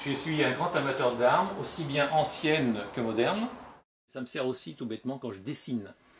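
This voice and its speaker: At a fairly slow pace, a man speaks in a medium pitch that is somewhat breathy. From Tunisia, later Brittany. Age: 50s. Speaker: comic book author. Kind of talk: guided tour interview. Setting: at home in his workroom. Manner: hesitant, frequent 'euh'.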